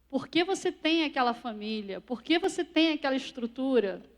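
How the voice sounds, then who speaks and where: Over a very clean recording with a silent background, a woman speaks at a high pitch. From Portugal, moved to Brazil at age six. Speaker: speaker. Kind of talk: sermon.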